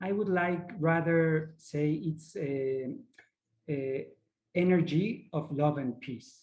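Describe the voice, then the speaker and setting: With ordinary pitch variation, a man talks very slowly at a fairly high pitch. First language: not English. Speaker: ayahuasca facilitator. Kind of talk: online workshop presentation. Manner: halting, searching for words.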